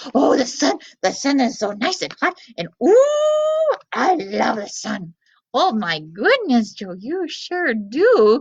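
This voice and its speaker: A put-on character voice from a woman, high-pitched and fairly slow. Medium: read story. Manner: eager, chatty.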